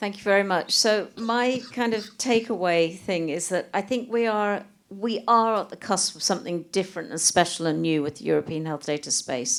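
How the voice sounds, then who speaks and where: With an English accent, the speaker talks with lively intonation and hardly any pauses on a very clean recording with a silent background. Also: woman, medium pitch for a woman, moderate pace. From England. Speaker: panel speaker. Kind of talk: panel discussion.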